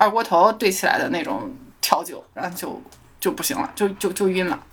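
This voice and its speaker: A woman at a moderate pace. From Shandong, China.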